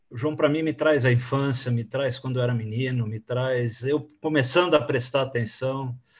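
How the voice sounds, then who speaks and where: Somewhat breathy, the voice keeps a moderate pace with hardly any pauses and fairly even intonation. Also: man, medium pitch for a man. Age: 60s. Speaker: interviewer. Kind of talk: interview.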